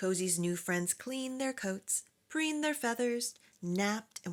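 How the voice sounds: This clip carries a natural reading voice.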